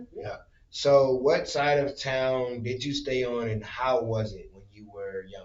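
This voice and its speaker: With an American accent, a man speaks in an unremarkable speaking voice at medium pitch, using fairly even intonation and a fairly slow pace, with big swings in loudness. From northern Indiana, Michigan City. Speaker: podcast host. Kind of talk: casual chat.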